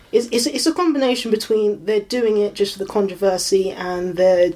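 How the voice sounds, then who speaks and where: Noticeable background noise behind a woman's medium-pitched voice at a moderate pace. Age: 20s. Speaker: computer science student. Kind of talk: casual interview. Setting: home bedroom recording.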